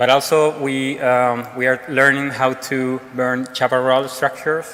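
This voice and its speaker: Over noticeable background noise, a man with a Spanish accent speaks at a medium pitch and fairly slow pace in a monotone, flat way. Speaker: fire service technician. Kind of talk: conference talk. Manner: halting, many fillers.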